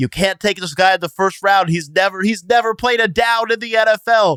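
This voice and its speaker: Putting on a nasal, high-pitched character voice, a man speaks at a fairly quick pace in a dry, close sound with no echo. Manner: condescending, fussy.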